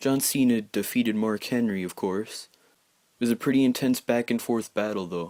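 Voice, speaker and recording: Quiet and dark, mellow in tone, a man speaks at a moderate pace with a medium pitch and fairly even intonation. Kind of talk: casual wrestling results recap. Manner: quiet, hushed.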